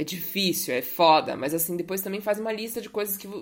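Fairly quick speech from a woman, ordinary in its pitch variation. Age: 20s. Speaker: podcast host. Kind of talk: casual monologue. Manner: animated.

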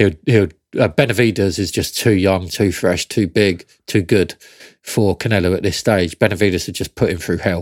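Dry and close with no echo on a very clean recording with a silent background, a man with a British accent speaks at a moderate pace in a very deep, low pitch with ordinary pitch variation. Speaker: boxing podcast co-host. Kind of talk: casual banter and review chat.

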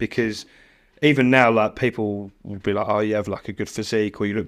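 With a British accent, a man speaks at a fairly quick pace and a fairly low pitch. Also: very clean recording, silent background. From Britain. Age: 30s. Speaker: fitness coach. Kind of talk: casual chat.

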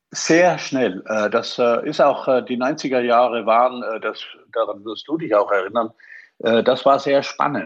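A man speaks at medium pitch. His pace is fairly slow. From Austria. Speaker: IT expert, former hotelier. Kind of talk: podcast interview. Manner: halting, many fillers.

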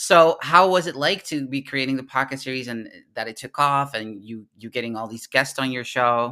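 A man's bright, sharp voice at medium pitch, with ordinary pitch variation, big swings in loudness, a moderate pace and hardly any pauses, in a very clean recording with a silent background. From Netherlands. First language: Dutch. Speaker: podcast host. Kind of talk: interview.

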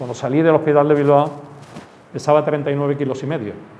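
A man's fairly high-pitched voice at a fairly quick pace, with noticeable background noise and audible room echo. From Andalusia, Málaga. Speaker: terrorism victim and former Civil Guard officer. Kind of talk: testimony. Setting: school classroom talk. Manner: halting.

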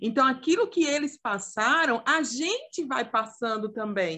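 Against a quiet background, a woman speaks fairly slowly with lively intonation and a bright, sharp tone. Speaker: youth ministry podcast co-host. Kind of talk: casual chat. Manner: talkative.

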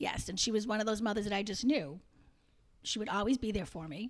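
Fairly quick and fairly high, a woman talks in an ordinary speaking voice with ordinary pitch variation. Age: 50s. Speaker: mother of the hosts. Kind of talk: casual chat.

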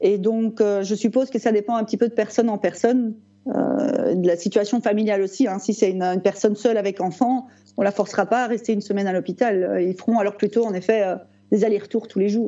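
A woman's medium-pitched voice at a fairly quick pace, fairly even in intonation, against noticeable background noise. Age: 40s. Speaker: type 1 diabetic patient. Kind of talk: casual interview. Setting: video call. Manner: halting.

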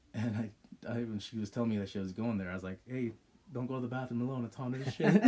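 Noticeable background noise runs under the recording. A man speaks at a very fast pace with ordinary pitch variation. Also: medium pitch for a man. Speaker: podcast host. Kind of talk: casual chat.

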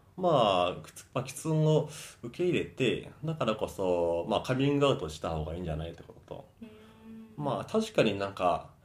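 With music in the background, a man speaks at a moderate pace and medium pitch, showing very wide pitch swings and big swings in loudness. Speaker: fitness instructor. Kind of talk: interview. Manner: halting.

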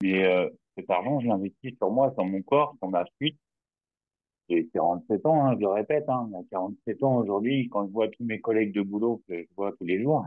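A man with a plain, everyday voice speaks at a moderate pace, his fairly low pitch showing ordinary pitch variation. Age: 40s. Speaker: client testimonial, railway worker. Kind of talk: testimony.

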